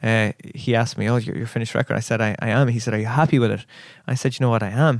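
In a very clean recording with a silent background, a man talks at a very fast pace with a medium pitch and fairly even intonation. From Ireland, raised in Dublin and Killarney, Kerry. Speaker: singer-songwriter. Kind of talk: casual interview. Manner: halting.

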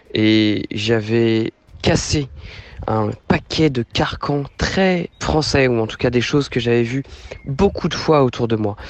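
A man's very slow speech with lively intonation over noticeable background noise. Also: medium pitch for a man. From Normandy, France (Rouen). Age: 30s. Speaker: returning expatriate. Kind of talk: interview.

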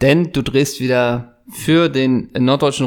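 A man is speaking. His pace is very slow. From Germany, Worms. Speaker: podcast co-host. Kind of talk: casual chat.

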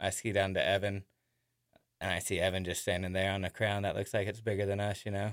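The recording is very clean, with a silent background and a dry, close sound with no echo. A man speaks at a fairly quick pace and fairly low pitch. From Tennessee, Chattanooga. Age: 30s. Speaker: backcountry skier, golf course maintenance worker. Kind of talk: interview testimony. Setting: radio studio.

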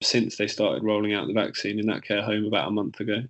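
Speech with an English accent moves along at a fairly quick pace. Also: man. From England. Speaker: filmmaker. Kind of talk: casual chat.

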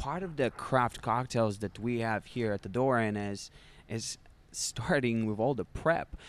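Man with a Russian accent, medium pitch, ordinary pitch variation and a fairly slow pace. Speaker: bartender. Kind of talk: interview. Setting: bar. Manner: halting.

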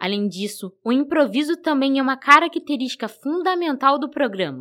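In a very clean recording with a silent background, a woman speaks at a moderate pace in a high pitch with ordinary pitch variation. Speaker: student radio reporter. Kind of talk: scripted narration.

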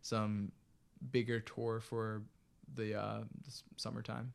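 In an American accent, a man speaks at a medium pitch with monotone, flat intonation. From US, Maryland (Bethesda). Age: 20s. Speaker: musician. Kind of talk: casual interview.

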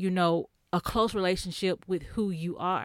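A woman with an ordinary speaking voice and an American accent, medium pitch and moderate pace, in a very clean, dry, close recording with no echo and a silent background. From Texas. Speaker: podcaster. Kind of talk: casual chat.

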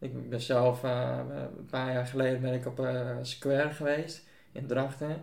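Very slowly and in a flat monotone, a man with a medium-pitched voice talks over noticeable background noise, with audible echo from the room. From Buitenpost, Friesland, Netherlands. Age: young. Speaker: church member. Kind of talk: casual chat. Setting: at home.

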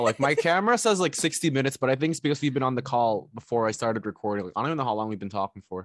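Here a man talks at a very fast pace. The recording is very clean, with a silent background. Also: dry, close sound with no echo. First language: not English. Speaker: podcast host. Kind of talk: casual chat. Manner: joking, laughs often.

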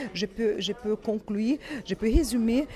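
The speaker has a Brazilian accent and talks at a very slow pace with ordinary pitch variation. Noticeable background noise is present. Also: woman. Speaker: fashion brand representative. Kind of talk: interview. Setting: fashion trade show in Paris. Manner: halting, with many repetitions and fillers.

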